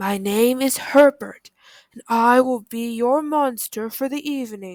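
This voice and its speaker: Using a put-on character voice, a woman speaks at a fairly slow pace in a high, breathy voice. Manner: polite, formal.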